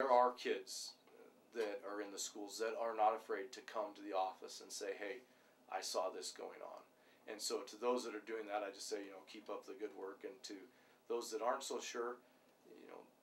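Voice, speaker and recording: Over light background noise, a man speaks at a moderate pace with big swings in loudness. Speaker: police sergeant. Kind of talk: interview answer. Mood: calm, earnest. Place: office.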